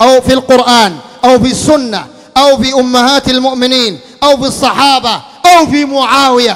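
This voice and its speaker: A man's extremely high-pitched voice, stern in tone, at a fairly slow pace. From Sudan. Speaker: Islamic preacher. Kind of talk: sermon. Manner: stern, forceful. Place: home room. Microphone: handheld.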